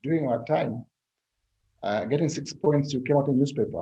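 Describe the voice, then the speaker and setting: A man's medium-pitched voice, somewhat breathy and with a dark, mellow tone. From Zambia. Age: 60s. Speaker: political scientist. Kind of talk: interview. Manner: halting.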